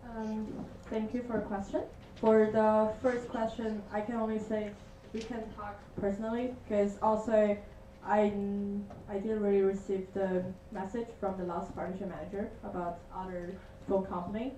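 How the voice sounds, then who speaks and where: A woman's fairly high, monotone, flat delivery, with audible room echo and music in the background. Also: moderate pace. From China. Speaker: student network partnership manager. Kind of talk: answering questions; meeting report.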